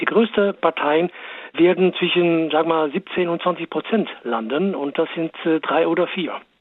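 Noticeable background noise is present. The speech moves at a fairly slow pace. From Netherlands. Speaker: political expert. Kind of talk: interview.

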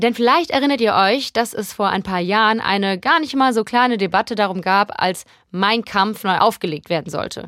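A woman speaks in an ordinary speaking voice, fairly high-pitched with lively intonation at a moderate pace. The recording is very clean, with a silent background. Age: 30s. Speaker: podcast host. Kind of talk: scripted narration; interview.

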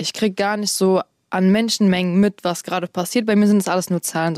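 On a very clean recording with a silent background, a woman speaks at a medium pitch and a very fast pace. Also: dry, close sound with no echo. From Berlin, Germany. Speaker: rapper. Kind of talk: casual interview chat.

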